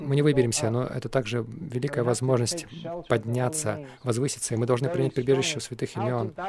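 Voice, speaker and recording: Against noticeable background noise, a man speaks fairly quickly at medium pitch with fairly even intonation. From Western country. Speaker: Hare Krishna monk (sannyasi) teacher. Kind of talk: lecture. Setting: lecture hall with audience.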